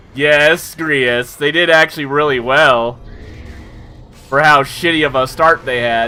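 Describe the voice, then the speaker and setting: A fairly high-pitched man at a fairly slow pace with fairly even intonation over music in the background. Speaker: game streamer. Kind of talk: casual gameplay livestream chat.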